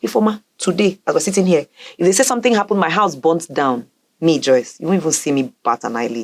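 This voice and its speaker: A woman's very fast speech with very wide pitch swings. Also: fairly low pitch for a woman. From Nigeria, Port Harcourt. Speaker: professional MC and public speaker. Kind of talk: interview.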